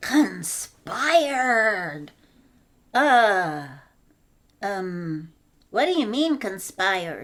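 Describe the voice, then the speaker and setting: A cartoonish character voice, female-sounding and fairly high, crawls along at a very slow pace with long, frequent pauses. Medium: puppet.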